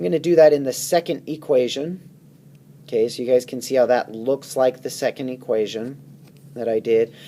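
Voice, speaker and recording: Delivery comes at a moderate pace. Pitch varies in an ordinary way within a dark, mellow tone. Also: man, medium pitch for a man. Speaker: math teacher. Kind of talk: tutorial.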